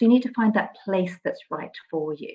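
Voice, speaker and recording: Intonation rises and falls in a lively way. There is a somewhat breathy quality to the voice. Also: woman. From southern England, Brighton. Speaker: university admissions speaker. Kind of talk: presentation.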